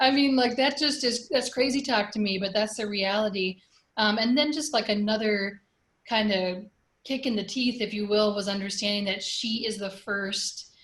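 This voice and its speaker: In a normal speaking voice, a woman with an American accent talks at a moderate pace and a fairly high pitch, with ordinary pitch variation. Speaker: community organizer. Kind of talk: casual chat.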